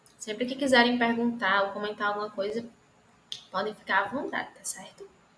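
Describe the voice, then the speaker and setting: The speaker talks at a fairly quick pace with fairly even intonation. It is a normal speaking voice. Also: woman, fairly high pitch for a woman. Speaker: lecturer. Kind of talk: online lecture.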